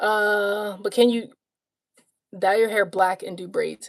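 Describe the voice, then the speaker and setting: A woman talks at a moderate pace with a Southern US accent. Her voice sits at a medium pitch, and her intonation stays fairly even. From US South. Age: 30s. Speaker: life coach livestreamer. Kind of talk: casual livestream Q&A. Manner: casual, filler-heavy.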